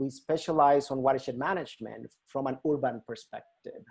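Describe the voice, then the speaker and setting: A man speaks with a Mexican accent. His tone is dark and mellow against a quiet background. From Mexico, Hermosillo, Sonora. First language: Spanish. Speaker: nonprofit river restoration educator. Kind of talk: presentation to a volunteer group. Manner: halting, many fillers.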